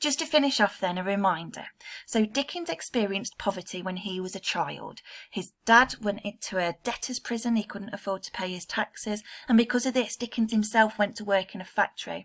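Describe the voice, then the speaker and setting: A woman with an English accent, fairly high in pitch, with big swings in loudness. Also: ordinary pitch variation, fairly quick pace. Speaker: secondary school English teacher. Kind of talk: recorded remote lesson. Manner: fast.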